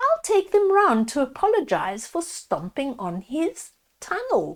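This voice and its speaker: A woman speaks at a fairly slow pace in a put-on character voice with an extremely high pitch. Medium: read story.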